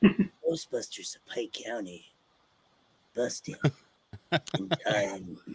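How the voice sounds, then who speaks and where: Putting on a character voice, a man speaks very slowly at a medium pitch. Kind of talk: epic, dramatic.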